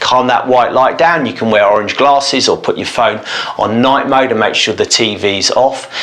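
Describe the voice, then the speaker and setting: Noticeable background noise and audible room echo surround a man whose medium-pitched voice shows ordinary pitch variation. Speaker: osteopath. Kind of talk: tutorial. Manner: fast.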